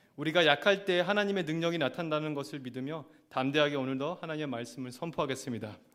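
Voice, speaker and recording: Speech moves at a fairly quick pace with ordinary pitch variation. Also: man. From Argentina. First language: Spanish (speaking Korean). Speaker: assistant pastor. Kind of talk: sermon.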